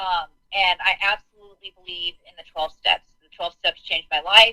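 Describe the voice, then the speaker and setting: At a moderate pace, a woman with an American accent speaks in a bright, sharp tone of medium pitch with fairly even intonation, the sound dry and close with no echo. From US West Coast, Ocean Beach. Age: 40s. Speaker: drug and alcohol counselor. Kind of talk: testimony.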